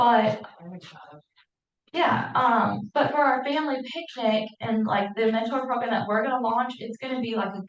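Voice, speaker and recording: The speaker has a normal speaking voice and an American accent. The pace is moderate, with ordinary pitch variation. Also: woman. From St. Louis, Missouri. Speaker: educator for deafblind children. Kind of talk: Q&A at a support group meeting.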